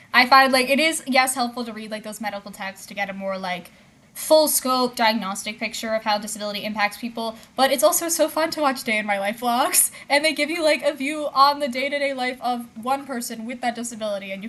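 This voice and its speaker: Amid noticeable background noise, a woman talks at a fairly quick pace in a high pitch, with ordinary pitch variation and big swings in loudness. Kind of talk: casual livestream chat reading comments. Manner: speech sometimes garbled, words out of order.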